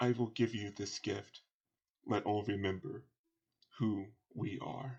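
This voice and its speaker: Using a put-on character voice, a man speaks fairly slowly at a fairly low pitch, with long, frequent pauses. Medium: actual play. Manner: stately, stern.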